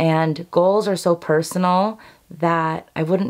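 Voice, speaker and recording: A woman's fairly low pitch against a quiet background. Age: 30s. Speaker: beauty and lifestyle youtuber. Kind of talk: casual chat to camera. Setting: filmed at home vanity. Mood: warm, encouraging. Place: home room.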